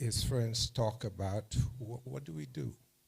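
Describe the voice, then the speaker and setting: With a dark, mellow tone, a man speaks in a somewhat breathy voice and lively intonation. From Saint Lucia. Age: 70s. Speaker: school alumnus speaker. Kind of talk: dinner speech.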